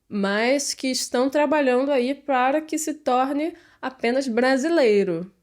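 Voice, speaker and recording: Lively intonation from a woman with a Brazilian Portuguese accent, fairly slow pace, very clean recording and silent background. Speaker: artist and gardener, vlogger. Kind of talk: casual vlog monologue. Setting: talking to camera. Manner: halting, many fillers.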